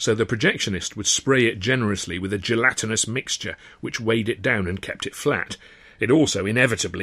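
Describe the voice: The voice does plain reading aloud with ordinary pitch variation.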